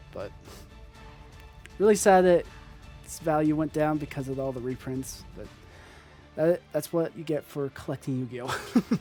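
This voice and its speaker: Over music in the background, a man with a fairly high pitch and ordinary pitch variation speaks at a moderate pace, leaving long, frequent pauses, his loudness swinging widely. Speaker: trading card collector. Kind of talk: casual talk to camera. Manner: unscripted, stuttering, hesitant.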